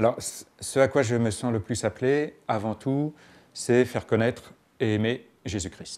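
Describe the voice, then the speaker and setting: A man with an unremarkable speaking voice, medium pitch, ordinary pitch variation and a fairly slow pace. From France, Paris region (Garches). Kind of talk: interview testimony.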